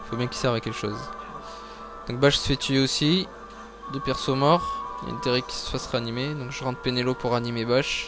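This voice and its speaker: A man speaks at a fairly quick pace, with long, frequent pauses. Music plays in the background. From France. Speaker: video game player. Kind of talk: gameplay commentary.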